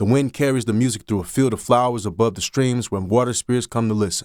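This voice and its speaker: A man of medium pitch speaks in an unremarkable speaking voice at a fairly quick pace on a very clean recording with a silent background. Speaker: audiobook narrator. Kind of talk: literary short story narration.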